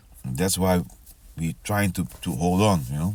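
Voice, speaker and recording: This man has a very deep, low pitch. He talks at a moderate pace. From ABC Islands (Dutch Caribbean). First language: Papiamento. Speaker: preacher. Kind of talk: casual sermon. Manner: halting, many repetitions.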